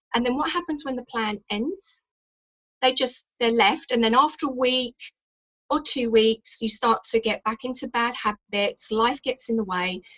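A woman's high-pitched speech moves at a moderate pace, its pitch varying in an ordinary way. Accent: English. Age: 50s. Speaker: fitness expert. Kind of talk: radio interview.

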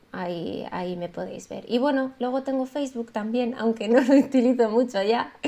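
A woman's high voice at a moderate pace with hardly any pauses, ordinary pitch variation and big swings in loudness. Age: 30s. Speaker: illustrator. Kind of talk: interview.

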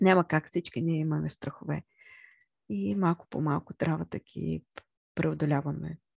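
A woman talks at a moderate pace, her voice recorded dry and close without any echo. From central Bulgaria (Chirpan). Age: 30s. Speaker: podcast host. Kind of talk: monologue about herself. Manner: halting, with many fillers.

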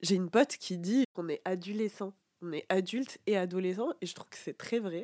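Speaking at a fairly slow pace, a woman with a medium pitch and ordinary pitch variation has a dark, mellow tone in a dry, close sound with no echo. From France, small provincial town. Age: 20s. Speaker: podcast host. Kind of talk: casual monologue. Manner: casual, spontaneous.

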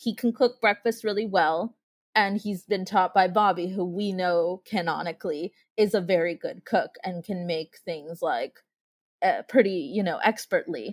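A woman with an unremarkable speaking voice talks at a moderate pace, her medium pitch showing ordinary variation. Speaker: fan podcast guest. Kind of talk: casual chat. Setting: remote group call.

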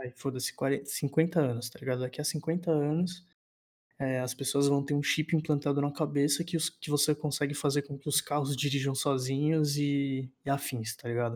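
A man speaks in an ordinary speaking voice at a moderate pace. His pitch is fairly high and his intonation fairly even. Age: 20s. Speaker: university student podcast co-host. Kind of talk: casual chat.

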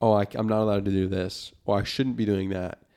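A normal speaking voice from a man, fairly low in pitch and at a fairly quick pace. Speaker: podcast co-host, study abroad student. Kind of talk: casual chat. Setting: studio.

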